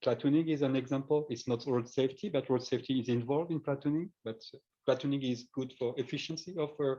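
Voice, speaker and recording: A man's dark, mellow voice at medium pitch, very fast, with fairly even intonation. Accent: French. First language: French. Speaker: researcher and startup CEO. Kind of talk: conference talk. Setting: face-to-face meeting with shared screen. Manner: halting, many fillers.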